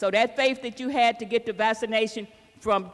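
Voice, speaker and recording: With an Arkansas accent, a woman speaks fairly quickly at a fairly high pitch over noticeable background noise. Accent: Southern US, Arkansas. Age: 70s. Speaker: city council member and evangelist. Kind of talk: public town hall comment.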